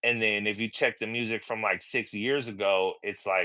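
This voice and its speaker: A man speaks at a moderate pace in a bright, sharp tone with monotone, flat intonation, on a very clean recording with a silent background. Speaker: rapper and tattoo artist. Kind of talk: casual chat.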